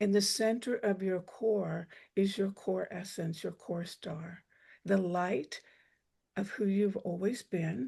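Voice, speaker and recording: A soft-spoken woman talks at a fairly slow pace in a medium pitch with ordinary pitch variation. Her tone is dark and mellow, somewhat breathy, against a quiet background. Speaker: breathwork teacher. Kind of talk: guided meditation. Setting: video call.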